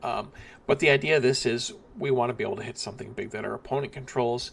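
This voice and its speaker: Vocal fry at a moderate pace. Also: man. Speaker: card game content creator. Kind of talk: deck guide tutorial. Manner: casual with many fillers.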